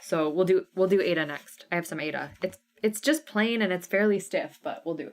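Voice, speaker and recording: A woman speaks in an animated way at a fairly quick pace. Her intonation is lively, and her volume rises and falls sharply. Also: medium pitch for a woman. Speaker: cross stitch designer and live sale host. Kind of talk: live stream sale with chat. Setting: live stream. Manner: fast.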